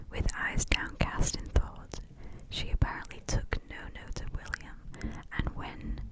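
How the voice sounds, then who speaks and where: A woman whispers in a breathy voice at a fairly slow pace, with noticeable background noise behind her. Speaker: ASMR creator. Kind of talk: ASMR book reading. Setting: close-up binaural microphone recording. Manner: whispered, soft, breathy.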